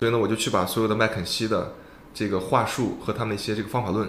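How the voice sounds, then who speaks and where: A man's fairly low, monotone, flat voice at a very fast pace, with audible room echo. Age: 30s. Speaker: startup founder, former headhunter. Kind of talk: casual interview.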